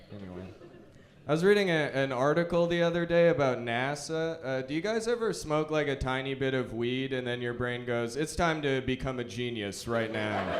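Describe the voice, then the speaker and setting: A man speaks in a normal speaking voice with a Canadian accent and a medium pitch. His intonation is lively and his pace moderate. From Alberta, Canada. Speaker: stand-up comedian. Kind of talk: stand-up comedy set.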